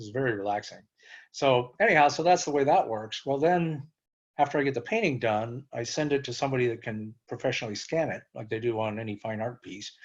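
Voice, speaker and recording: Against a quiet background, a man of medium pitch speaks at a fairly quick pace with ordinary pitch variation and big swings in loudness. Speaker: cancer survivor and author. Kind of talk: interview. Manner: fast.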